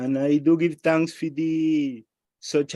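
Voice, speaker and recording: Speaking with a Spanish accent in a dark, mellow tone, a man talks at a fairly slow pace, with a dry, close sound with no echo on a very clean recording against a silent background. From Venezuela, Caracas. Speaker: religious participant in a study group. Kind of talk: religious discussion on a group call. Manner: formal.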